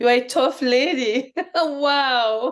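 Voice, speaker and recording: Against a quiet background, a woman with a fairly high pitch speaks at a very slow pace. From Cameroon. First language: French. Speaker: podcast host, beauty queen. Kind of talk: interview.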